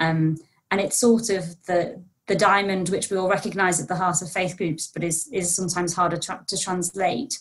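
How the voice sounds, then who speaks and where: This woman's voice is somewhat breathy, with ordinary pitch variation. She talks at a moderate pace against a quiet background. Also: medium pitch for a woman. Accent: British. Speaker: think tank researcher; guest. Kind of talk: panel discussion. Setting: video call. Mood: friendly, thoughtful. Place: home room. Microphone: video call.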